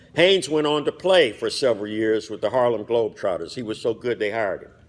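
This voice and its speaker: A man with an American accent and medium pitch, at a very fast pace with lively intonation and big swings in loudness. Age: 60s. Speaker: fraternity member speaker. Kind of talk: commemorative speech. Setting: hotel banquet hall with audience.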